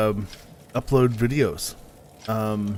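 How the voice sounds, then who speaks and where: A man speaks with fairly even intonation. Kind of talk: casual live stream chat. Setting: live stream with voice chat. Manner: halting, many fillers.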